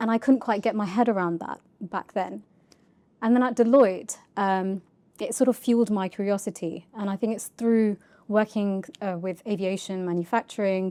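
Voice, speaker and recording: Speaking with a London accent, a woman has a dark, mellow tone and fairly even intonation, with long, frequent pauses on a very clean recording with a silent background. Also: medium pitch for a woman, moderate pace. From North London, England. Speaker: charity data executive. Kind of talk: podcast interview.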